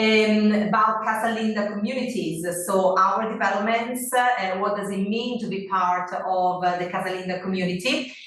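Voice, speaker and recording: Speaking in an Italian accent, a woman keeps fairly even intonation at medium pitch with hardly any pauses, against noticeable background noise and audible room echo. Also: moderate pace. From Italy. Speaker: real estate sales manager. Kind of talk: webinar presentation. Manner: halting, many fillers.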